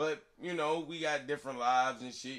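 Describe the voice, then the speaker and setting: Bright and sharp in tone, a man speaks in a fairly high pitch with ordinary pitch variation. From US Midwest. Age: 30s. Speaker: podcast host and music artist. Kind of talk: casual chat. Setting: home studio in an attic.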